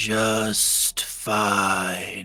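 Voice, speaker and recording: A man puts on a raspy character voice. His pitch sits fairly low. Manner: slow, cheerful.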